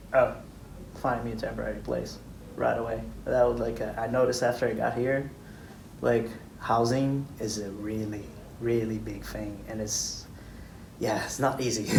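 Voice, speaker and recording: Long, frequent pauses against audible room echo. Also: man, moderate pace. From Brazil. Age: 20s. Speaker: engineer. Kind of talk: interview.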